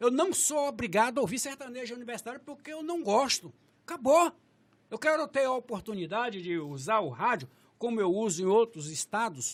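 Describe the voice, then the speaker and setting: A man talks at a fairly quick pace in an animated tone, with an extremely high pitch. His pitch swings very widely and his loudness swings a lot. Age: 60s. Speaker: social activist. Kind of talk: podcast discussion. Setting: studio.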